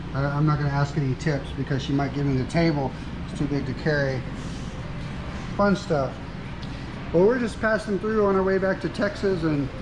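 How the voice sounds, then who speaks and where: The speech moves at a fairly quick pace. Background noise is noticeable. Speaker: traveling vlogger, art teacher. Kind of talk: casual vlog chat. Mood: enthusiastic, friendly. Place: cafe. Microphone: phone near.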